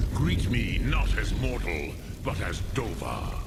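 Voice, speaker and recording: A man talks in a put-on character voice at a fairly slow pace. Loud background noise fills the recording. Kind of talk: archaic epic speech. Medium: solo performance. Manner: slow, deliberate, grave.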